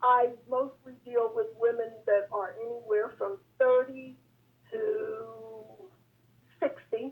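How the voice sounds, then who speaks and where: A woman speaks very slowly at a high pitch, leaving long, frequent pauses. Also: ordinary pitch variation. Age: 70s. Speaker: caller to talk show. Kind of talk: casual debate on call-in show.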